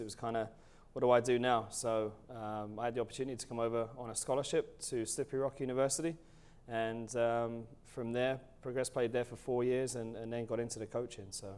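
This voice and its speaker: Talking very fast, a man speaks with an English accent. His pitch sits in the medium range. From England. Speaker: college soccer coach. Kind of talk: interview. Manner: hesitant, many fillers.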